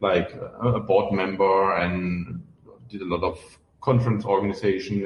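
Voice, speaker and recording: The speaker has a German accent. Intonation stays fairly even. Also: man. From Germany. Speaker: open source software founder. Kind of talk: podcast interview. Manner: hesitant with many fillers.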